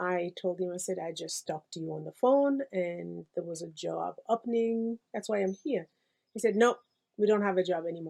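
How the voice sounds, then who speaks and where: With a dark, mellow tone, a woman speaks at a medium pitch and moderate pace, with ordinary pitch variation. Her loudness swings widely, and the sound is dry and close with no echo. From Congo. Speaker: pastoral care coordinator. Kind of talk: interview testimony. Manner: halting.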